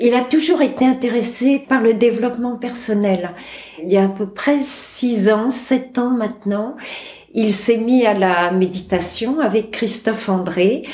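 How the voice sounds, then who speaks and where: A woman's fairly high voice with ordinary pitch variation, very even loudness and a very slow pace, over noticeable background noise. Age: 60s. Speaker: cancer patient. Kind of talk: testimony.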